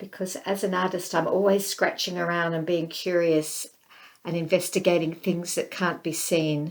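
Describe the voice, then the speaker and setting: In a very clean recording with a silent background, a woman speaks with an Australian accent. Her fairly low pitch holds a monotone, flat intonation at a moderate pace. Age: 60s. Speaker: visual artist and filmmaker. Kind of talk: interview.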